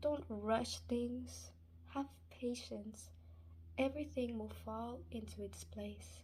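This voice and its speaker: With audible room echo, a woman talks very slowly in a very deep, low pitch and a dark, mellow tone, leaving long, frequent pauses. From Spanish-speaking country, moved to US at eight. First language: Spanish. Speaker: Islamic advice vlogger. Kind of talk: casual religious advice talk. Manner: hesitant, many fillers.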